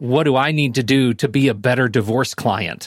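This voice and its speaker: Heard on a very clean recording with a silent background, a man speaks at a moderate pace and medium pitch. He has an ordinary speaking voice. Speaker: co-host. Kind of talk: casual interview chat.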